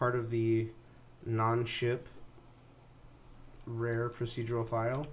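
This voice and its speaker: Very slow, somewhat breathy speech with audible room echo. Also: man. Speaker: video game streamer and modder. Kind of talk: live stream game commentary. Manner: halting, stumbling with fillers.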